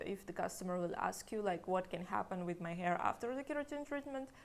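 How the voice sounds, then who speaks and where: A woman with a Russian accent, medium pitch and ordinary pitch variation. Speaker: hair stylist. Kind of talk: tutorial; casual chat. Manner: unscripted, hesitant.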